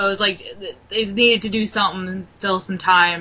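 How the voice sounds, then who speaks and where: Over noticeable background noise, a woman speaks at a moderate pace with medium pitch. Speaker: wrestling podcast co-host. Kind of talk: casual podcast chat. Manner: animated, conversational.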